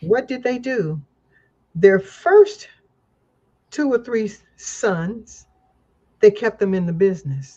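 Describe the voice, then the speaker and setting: A woman's dark, mellow, somewhat breathy voice with lively intonation, a very slow pace and long, frequent pauses. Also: fairly high pitch for a woman. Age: 70s. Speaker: activist and political commentator. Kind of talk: casual chat.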